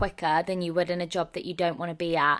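Against a silent background in a very clean recording, a woman with an English accent talks at a fairly low pitch in a monotone, flat intonation. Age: 20s. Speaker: podcast co-host, drama student. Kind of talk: casual chat.

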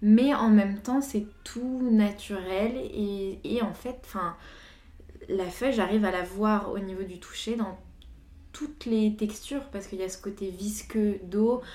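A woman with a fairly high pitch and a dark, mellow tone, speaking at a very slow pace with ordinary pitch variation, big swings in loudness and audible room echo. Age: 20s. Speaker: visual artist. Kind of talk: casual chat.

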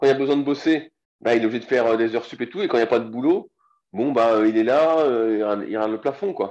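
A man speaks at a medium pitch and a very fast pace. His pitch varies in an ordinary way, and the background is quiet. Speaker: strength training coach. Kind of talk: interview. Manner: casual.

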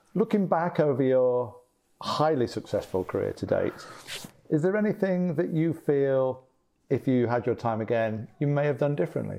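A fairly high-pitched man's voice with a dark, mellow tone. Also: lively intonation, moderate pace, very even loudness. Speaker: podcast host. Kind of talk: interview.

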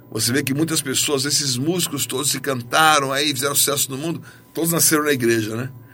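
A man with a fairly high voice speaks amid audible room echo. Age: 50s. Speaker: pastor. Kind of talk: sermon.

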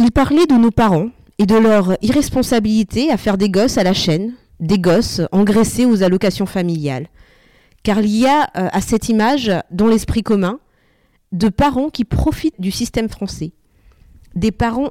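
Her voice sits fairly high, with lively intonation and a dark, mellow tone. The sound is dry and close with no echo, in a very clean recording against a silent background. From Normandy, France (born Madagascar). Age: 30s. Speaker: podcast co-host, mother. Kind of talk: semi-scripted podcast talk.

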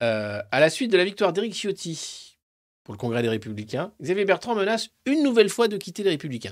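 On a very clean recording with a silent background, a man talks at a fairly quick pace in a high pitch with very wide pitch swings. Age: 50s. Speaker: political commentator. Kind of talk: live press review. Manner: animated.

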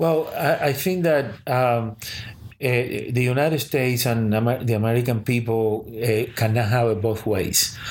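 This man talks at a fairly slow pace with a Spanish accent and a medium pitch. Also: ordinary pitch variation, very even loudness. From Cuba. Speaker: sociology professor. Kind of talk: interview.

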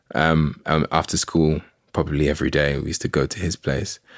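Monotone and flat, a man's very deep, low voice carries vocal fry at a moderate pace. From Saint Lucia. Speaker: music artist. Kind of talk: casual interview. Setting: studio.

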